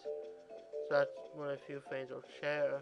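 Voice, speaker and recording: Very slowly, a man speaks while music plays in the background. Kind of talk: casual gameplay commentary. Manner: halting, with pauses and mix-ups.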